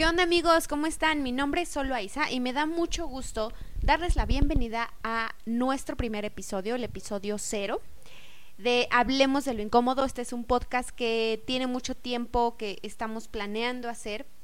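A high-pitched woman's voice at a moderate pace, with ordinary pitch variation. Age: 20s. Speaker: podcast co-host. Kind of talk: casual podcast introduction.

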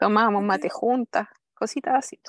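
In a Chilean accent, a woman with a high pitch talks at a fairly quick pace, the sound dry and close with no echo on a very clean recording with a silent background. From southern Chile. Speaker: mother seeking coaching. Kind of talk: personal testimony in coaching session. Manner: halting.

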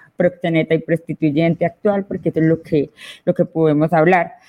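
The speaker is a woman. Her pitch is fairly low. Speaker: feminist activist. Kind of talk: panel discussion.

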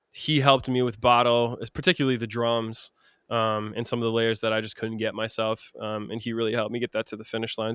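Recorded dry and close with no echo, a man with an American accent talks at a fairly quick pace in a medium pitch. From US Midwest, Madison, Wisconsin. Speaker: singer-songwriter. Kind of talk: casual chat.

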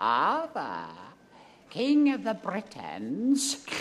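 The voice is a put-on character. Its pitch is fairly high.

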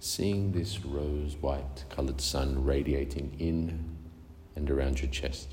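In a calm, soothing tone, a man with a very deep, low voice speaks at a very slow pace, his loudness very even and his intonation fairly even, over noticeable background noise. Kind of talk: guided meditation. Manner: slow, soothing and unhurried, with long pauses between short gentle cues; calm, soft-spoken and hypnotic, repeating phrases like 'deeper and deeper'.

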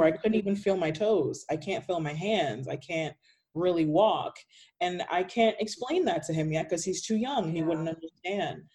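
The voice belongs to a woman with a fairly low pitch. Her tone is dark and mellow. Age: 20s. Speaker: patient sharing chronic illness story. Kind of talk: casual interview chat.

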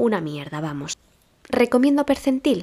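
The voice belongs to a woman and swings very widely in pitch. The recording is very clean with a silent background. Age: 30s. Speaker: podcaster and teacher. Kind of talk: casual solo podcast monologue.

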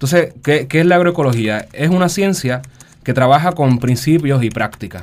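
Using a plain, everyday voice, a man talks at a moderate pace and fairly high pitch with lively intonation. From Puerto Rico, San Juan. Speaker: agroecologist. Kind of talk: radio interview.

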